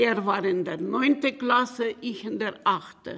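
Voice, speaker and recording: A woman speaks very slowly at a medium pitch, her voice showing vocal fry. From Bukovina region, Romania/Ukraine border. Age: 80s+. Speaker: Holocaust survivor, retired teacher. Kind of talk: interview testimony.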